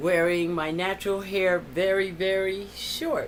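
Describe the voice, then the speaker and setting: A woman's very slow speech with audible room echo. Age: 60s. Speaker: vlogger and counselor. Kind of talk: casual video diary. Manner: conversational with frequent fillers.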